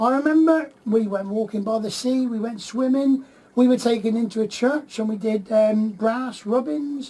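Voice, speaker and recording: A West Country accent at a moderate pace, over noticeable background noise. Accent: West Country, people mistake it for Cornish. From Plymouth, southwest England. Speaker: radio host. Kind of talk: casual radio chat.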